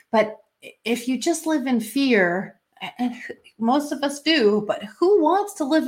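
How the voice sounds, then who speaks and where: In a very clean recording with a silent background, a woman with a Canadian accent speaks at a moderate pace, somewhat breathy and with very wide pitch swings. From Canada. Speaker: intuitive coach. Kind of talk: casual interview chat.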